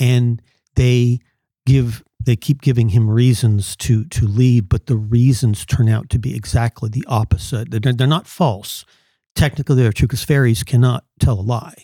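Somewhat breathy and dark, mellow in tone, the voice moves at a moderate pace with ordinary pitch variation, recorded very cleanly against a silent background with a dry, close sound and no echo. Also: man, medium pitch for a man. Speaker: panel guest. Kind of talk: casual discussion. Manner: hesitant, repeating words.

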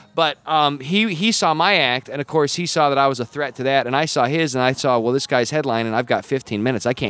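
Noticeable background noise runs under a man with an American accent. He talks very fast at a fairly high pitch with lively intonation. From Wyoming, US. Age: 30s. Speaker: comedian. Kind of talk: casual chat. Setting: comedy club showroom.

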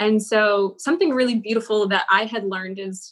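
This woman has an unremarkable speaking voice, fairly high in pitch, with fairly even intonation and a moderate pace. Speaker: former Google change-maker and yoga teacher. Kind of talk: interview discussing personal growth.

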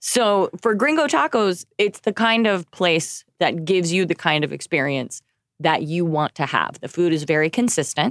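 A woman with a normal speaking voice and an American accent talks at a moderate pace with fairly low pitch and lively intonation, recorded dry and close with no echo and a silent background. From Oklahoma. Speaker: jazz singer, actress and voiceover artist. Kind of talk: casual chat.

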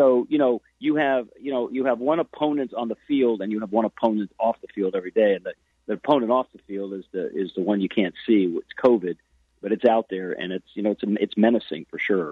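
Fairly quick delivery with ordinary pitch variation and big swings in loudness. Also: man, medium pitch for a man. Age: 60s. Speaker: youth baseball coach. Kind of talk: casual interview. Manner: halting, many restarts and fillers.

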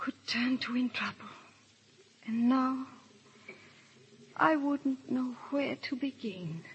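A woman puts on a character voice that is high-pitched with a husky, rough edge, speaking slowly with ordinary pitch variation.

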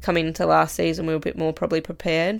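A woman speaks with an Australian accent on a very clean recording with a silent background. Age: 20s. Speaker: farmer and riding instructor. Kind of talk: casual interview chat. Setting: studio.

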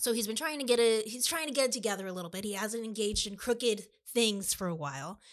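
Talking at a very fast pace, a woman uses a fairly high pitch and lively intonation. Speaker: podcast host and bookstore co-owner. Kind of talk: casual chat about books. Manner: quieter than her co-host.

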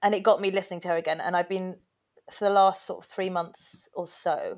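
A woman with an English accent talks at a fairly quick pace on a very clean recording with a silent background. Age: 30s. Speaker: singer and podcast guest. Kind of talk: casual chat. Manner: animated.

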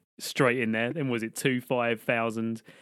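A man with a British accent talks at a moderate pace and medium pitch, with ordinary pitch variation. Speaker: podcast co-host. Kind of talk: casual comedy chat.

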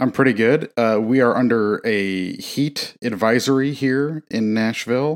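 A man speaks fairly slowly with hardly any pauses, in an ordinary speaking voice. His medium pitch varies in an ordinary way, and his loudness stays very even. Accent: American. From US Midwest. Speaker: podcast co-host. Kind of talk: casual chat. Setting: home recording.

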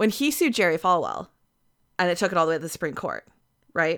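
On a very clean recording with a silent background, a woman speaks in a bright, sharp tone. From Canada. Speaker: podcast co-host. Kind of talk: casual chat.

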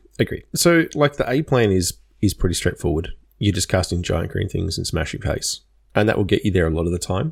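At a fairly quick pace, a somewhat breathy man with a fairly low pitch makes very wide pitch swings, on a very clean recording with a silent background. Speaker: podcast co-host. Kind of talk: casual chat.

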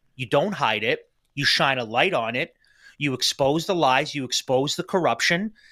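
At a moderate pace, a man with a Canadian accent uses lively intonation and a bright, sharp tone at a fairly high pitch, in a very clean recording with a silent background. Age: 30s. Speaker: political podcast host. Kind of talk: political commentary podcast. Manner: animated.

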